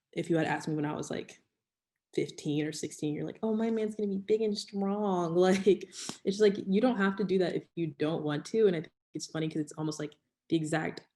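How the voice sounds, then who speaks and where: Her tone dark and mellow, a woman speaks fairly quickly with ordinary pitch variation. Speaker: panelist in church discussion. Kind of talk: casual chat. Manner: loud.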